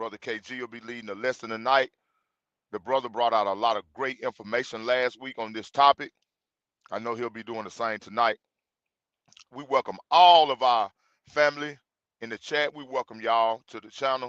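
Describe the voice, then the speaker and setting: A man with a Mississippi accent speaks at a fairly quick pace with fairly even intonation, long, frequent pauses and big swings in loudness. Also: medium pitch for a man. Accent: Southern, says 'fire' the Mississippi way. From Mississippi, US South. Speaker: Bible study group leader, livestream host. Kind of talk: livestream introduction to a Bible lesson. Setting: livestream. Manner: casual, conversational.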